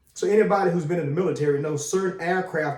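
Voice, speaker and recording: A man speaks in an animated tone with ordinary pitch variation. Audible room echo surrounds the recording. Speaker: military veteran, video commentator. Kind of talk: casual commentary monologue. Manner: casual, animated.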